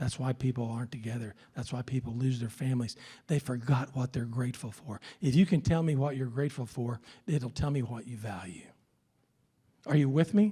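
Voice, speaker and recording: Somewhat breathy and dark, mellow in tone, a man with an American accent talks at a fairly quick pace. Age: 60s. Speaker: leadership speaker. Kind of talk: keynote speech. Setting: stage with audience. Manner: animated.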